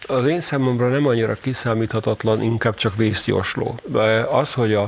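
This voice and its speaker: A man talks at a moderate pace with fairly even intonation while noticeable background noise runs underneath. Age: old. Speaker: newspaper editor. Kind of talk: panel discussion.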